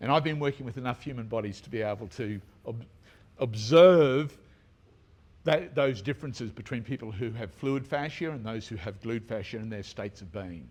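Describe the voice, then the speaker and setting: An ordinary speaking voice: a man at medium pitch talks at a moderate pace with ordinary pitch variation and big swings in loudness. The recording is very clean, with a silent background. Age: 60s. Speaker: tarot teacher and bodyworker. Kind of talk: conference talk. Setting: stage with audience, no microphone. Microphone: speaking without a microphone.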